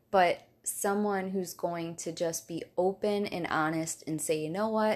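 This woman has a normal speaking voice at medium pitch. Her intonation stays fairly even. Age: 30s. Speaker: health coach. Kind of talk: casual chat. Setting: host's apartment.

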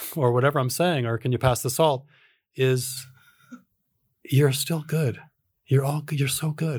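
A somewhat breathy man with an American accent, fairly high pitch, fairly even intonation, a fairly slow pace and long, frequent pauses. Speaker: authentic relating teacher and author. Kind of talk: casual chat.

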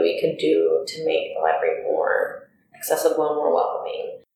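Moderate-paced speech from a woman with an American accent, audible room echo around it. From Hollywood, California. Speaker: library assistant and commission member. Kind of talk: interview.

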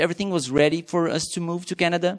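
Speaking at a fairly quick pace, a man uses a high voice with a Portuguese accent. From Brazil. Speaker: missionary pastor. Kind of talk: testimony. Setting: church.

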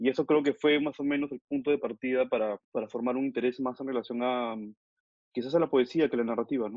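This man talks at a very fast pace in a medium pitch. His intonation stays fairly even. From Peru (Lima). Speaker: photographer and book editor. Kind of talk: interview.

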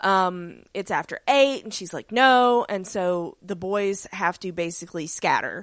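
Speaking at a fairly slow pace, a woman uses a normal speaking voice of medium pitch with ordinary pitch variation, on a very clean recording with a silent background. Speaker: podcast co-host. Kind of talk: casual chat.

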